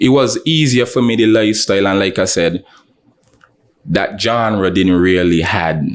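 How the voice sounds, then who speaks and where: A St Kitts accent with lively intonation at a moderate pace. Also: man. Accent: St Kitts local. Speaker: rapper. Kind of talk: interview. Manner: casual.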